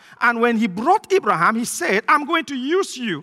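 In a dry, close sound with no echo, a man speaks fairly quickly in a raised, projected voice at an extremely high pitch. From Cameroon. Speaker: visiting pastor. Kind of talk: sermon. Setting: church. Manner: fast talker.

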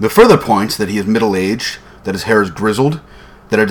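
The reader's natural voice carries lively intonation as the text is read aloud.

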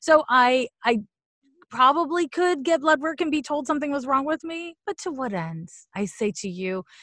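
Her bright, sharp tone rides very wide pitch swings as this woman speaks high-pitched at a moderate pace against a quiet background. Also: dry, close sound with no echo. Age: 40s. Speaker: astrologer and psychic medium. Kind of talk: casual interview.

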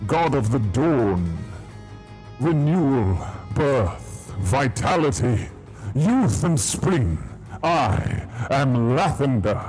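A booming, put-on character voice at a low-to-middle pitch and a very slow pace, with clear music in the background. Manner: grand, majestic.

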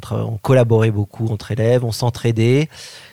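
The voice moves at a fairly quick pace in a dark, mellow tone with monotone, flat intonation. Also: man. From France, Paris. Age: 40s. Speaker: Montessori educator and school founder. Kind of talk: interview. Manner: halting.

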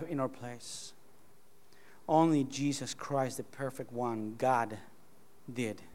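A man with a Spanish accent speaks at a very slow pace, with long, frequent pauses. His pitch is medium and his intonation fairly even. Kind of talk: sermon. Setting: church.

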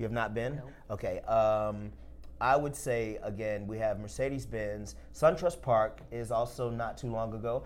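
A man with an American accent speaks at a moderate pace, his medium-pitched voice keeping a fairly even intonation. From Alabama, US South. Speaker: podcast host, food editor. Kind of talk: casual chat. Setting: studio.

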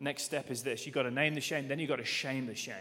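A man's raised, projected voice, bright and sharp in tone, in an English accent. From England. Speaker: pastor. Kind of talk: sermon. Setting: church. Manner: animated.

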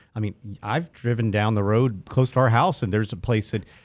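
On a very clean recording with a silent background, a man with an ordinary speaking voice talks at a fairly quick pace, medium pitch, and ordinary pitch variation. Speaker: financial advisor co-host. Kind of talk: casual chat.

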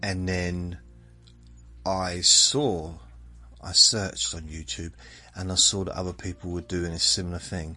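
With music in the background, the speaker's gentle tone and fairly even intonation come through amid big swings in loudness and long, frequent pauses. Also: man, very deep, low pitch for a man, fairly slow pace. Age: 50s. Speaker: podcast host. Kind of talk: casual rambling monologue, sleep-inducing podcast. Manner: rambling, self-correcting, gentle.

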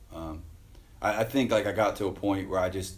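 A man's somewhat breathy voice, fairly low in pitch, at a fairly quick pace with fairly even intonation. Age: 30s. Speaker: pro BMX rider and judge. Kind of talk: casual interview chat. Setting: garage.

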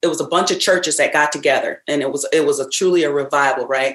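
This woman speaks in a very deep, low pitch with an American accent. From rural Michigan (Ravenna). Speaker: singer. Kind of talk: interview.

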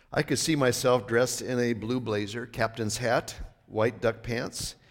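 The recording is very clean, with a silent background. A man with a medium-pitched voice speaks at a moderate pace. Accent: Upper Midwest. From US Upper Midwest (northwest North Dakota). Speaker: bishop. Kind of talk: sermon. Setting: church.

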